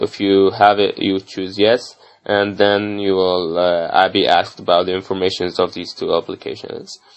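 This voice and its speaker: Flat and monotone, a man with an Arabic accent speaks at a fairly low pitch and a moderate pace. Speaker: medical student. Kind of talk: tutorial. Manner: halting, many fillers.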